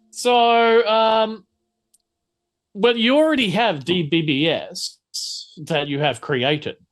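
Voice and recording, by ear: A fairly bright tone at a slow pace, with ordinary pitch variation. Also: man, high pitch for a man.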